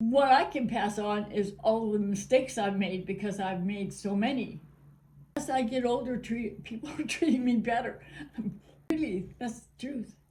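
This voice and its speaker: Somewhat breathy and fairly high in pitch, a woman speaks with a dark, mellow tone at a moderate pace and with ordinary pitch variation. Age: 80s+. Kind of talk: interview answer. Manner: casual, upbeat.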